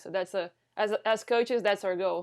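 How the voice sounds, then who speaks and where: On a very clean recording with a silent background, a woman speaks at a medium pitch with fairly even intonation. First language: not English. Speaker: volleyball coach, podcast host. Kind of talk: casual interview chat. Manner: halting, repeats words.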